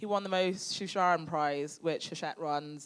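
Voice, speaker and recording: This is a woman with a British accent. Her pitch rises and falls in an ordinary way. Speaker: crime novelist and former editor. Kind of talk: live Q&A at a literary event. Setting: stage with audience. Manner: loud.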